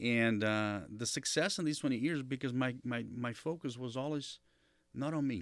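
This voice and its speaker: A man's medium-pitched voice with a Brazilian Portuguese accent at a moderate pace, ordinary pitch variation, and a very clean recording with a silent background. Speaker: marketing executive. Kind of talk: interview.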